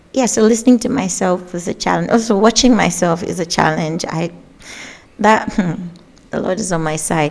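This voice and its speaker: A woman speaks at a moderate pace and medium pitch with ordinary pitch variation. There is noticeable background noise. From Nigeria, Kaduna State. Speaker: gospel singer and songwriter. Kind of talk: interview. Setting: studio.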